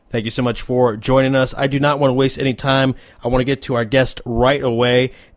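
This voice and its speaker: A man with an American accent talks at a fairly quick pace in a normal speaking voice, his pitch sitting in the medium range. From Arizona. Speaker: sports radio host. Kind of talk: radio interview.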